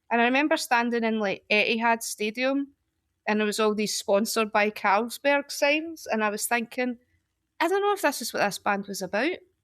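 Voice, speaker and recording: Speaking at a fairly quick pace with a Glaswegian accent, a woman uses a fairly high pitch with ordinary pitch variation on a very clean recording with a silent background. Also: dry, close sound with no echo. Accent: Glaswegian Scottish. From Scotland, Glasgow. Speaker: poet. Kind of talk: casual chat.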